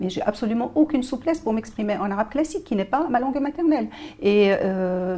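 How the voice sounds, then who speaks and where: A woman's fairly high pitch and lively intonation over noticeable background noise. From Morocco. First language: Moroccan Arabic (darija) (speaking French). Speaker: journalist and writer. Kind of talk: TV interview. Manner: hesitant, many filler sounds.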